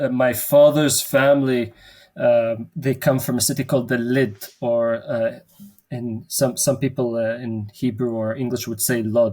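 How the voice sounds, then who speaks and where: Speaking at a fairly slow pace, a man with a medium pitch uses fairly even intonation and a dark, mellow tone. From Jerusalem. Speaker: theologian. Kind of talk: interview.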